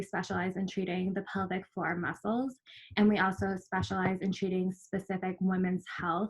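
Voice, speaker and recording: Somewhat breathy and medium in pitch, a woman speaks with a slight Minnesotan accent. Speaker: physical therapist. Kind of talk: workshop presentation.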